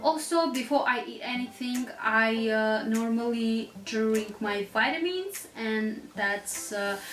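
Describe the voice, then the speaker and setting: Woman with a non-native accent and ordinary pitch variation, audible room echo and noticeable background noise. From Russia, Armenian family. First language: Russian or Armenian. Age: 20s. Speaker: lifestyle vlogger. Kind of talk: casual vlog talk to camera.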